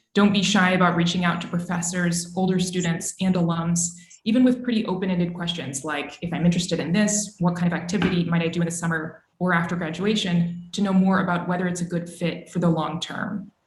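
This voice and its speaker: In an American accent, a woman with a fairly low pitch talks at a fairly quick pace with hardly any pauses and fairly even intonation, in audible room echo. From Texas, Austin. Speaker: journalist. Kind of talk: career talk to students. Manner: formal.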